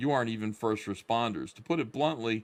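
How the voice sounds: Someone reads in a natural reading voice, and the pitch varies in an ordinary way.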